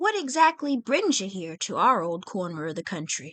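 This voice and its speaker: A woman puts on a character voice at a medium pitch. She speaks at a moderate pace. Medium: read story. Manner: folksy, friendly.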